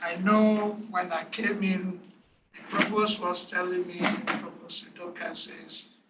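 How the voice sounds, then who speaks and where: The speech goes fairly slowly, with noticeable background noise beneath it. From Nigeria. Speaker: engineering professor. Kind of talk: panel presentation.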